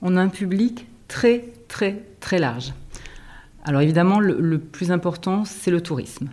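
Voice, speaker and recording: Talking at a fairly slow pace with long, frequent pauses, a woman keeps a very even loudness, her medium-pitched voice carrying lively intonation. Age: 50s. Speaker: guesthouse director, former teacher. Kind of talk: interview. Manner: halting, with frequent repetitions and fillers.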